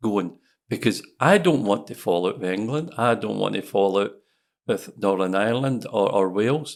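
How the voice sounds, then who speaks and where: Recorded very cleanly over a silent background, a man speaks with a Scottish accent. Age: 60s. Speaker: independence campaigner. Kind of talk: podcast interview.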